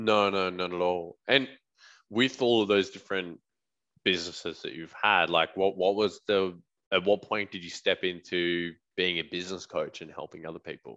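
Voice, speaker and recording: A man with an Australian accent speaks at a moderate pace in a very deep, low voice with a bright, sharp tone. His intonation is fairly even, his loudness swings widely, and the background is quiet. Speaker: podcast host. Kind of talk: interview.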